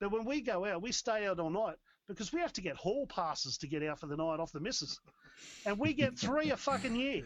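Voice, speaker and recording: A man with an Australian accent talks in an animated tone at a high pitch and a fairly quick pace, with very wide pitch swings. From Australia, Newcastle NSW. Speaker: rock band musician. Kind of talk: casual chat.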